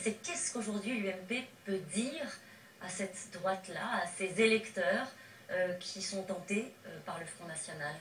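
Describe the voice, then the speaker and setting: Over noticeable background noise, a woman speaks at a fairly slow pace. Her pitch is medium, and her loudness swings a lot. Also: ordinary pitch variation. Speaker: TV political journalist. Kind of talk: TV interview questions. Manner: incisive, pressing.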